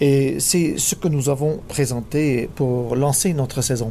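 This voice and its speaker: With a British accent, a man speaks at a very slow pace against noticeable background noise. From England. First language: English (speaking French). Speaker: orchestra conductor. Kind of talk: recorded interview. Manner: hesitant.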